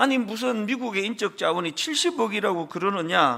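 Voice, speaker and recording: A man is speaking. His voice is high-pitched. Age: 60s. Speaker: pastor. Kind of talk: sermon. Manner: conversational, with fillers.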